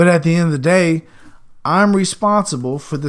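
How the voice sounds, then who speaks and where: A man speaks in an animated tone at a moderate pace, his pitch varying in an ordinary way. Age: 40s. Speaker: podcast host. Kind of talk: casual monologue.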